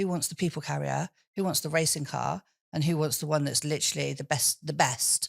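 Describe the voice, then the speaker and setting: A woman talks at a very fast pace in a very deep, low pitch with vocal fry. The recording is very clean and dry, close with no echo, against a silent background. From England, Swindon. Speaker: businesswoman and public speaker. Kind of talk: interview. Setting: studio.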